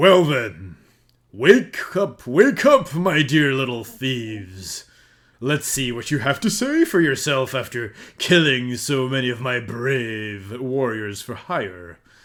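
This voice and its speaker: A man's loud, put-on character voice at a medium pitch, fairly slow, with lively intonation. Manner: menacing, loud.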